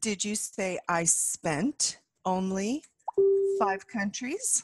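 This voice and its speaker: A woman's somewhat breathy, medium-pitched voice with an American accent, very slow pace and lively intonation, dry and close with no echo. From USA. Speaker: English teacher. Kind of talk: language lesson. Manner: slow, clear.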